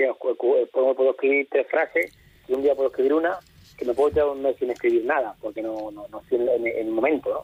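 The sound is dry and close, with no echo. A man talks through it at a fairly quick pace. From Spain, Castilla-La Mancha (Toledo). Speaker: flamenco singer. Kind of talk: radio interview. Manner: halting.

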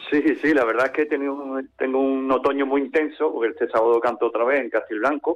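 A man at a very fast pace, fairly high in pitch, with very even loudness and fairly even intonation. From Andalusia, Algeciras. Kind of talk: interview.

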